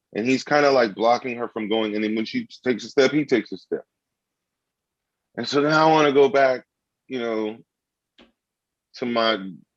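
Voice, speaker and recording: Fairly even intonation from a man at medium pitch, moderate pace, dry and close with no echo. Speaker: comedian. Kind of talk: casual chat. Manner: loud.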